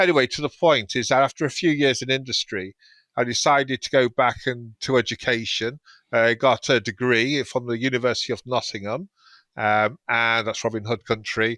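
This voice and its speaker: A man with a British accent speaks at a medium pitch in a bright, sharp tone, at a moderate pace with ordinary pitch variation. The recording is very clean, with a silent background. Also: dry, close sound with no echo. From England. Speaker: food safety professor. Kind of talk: interview. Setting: podcast.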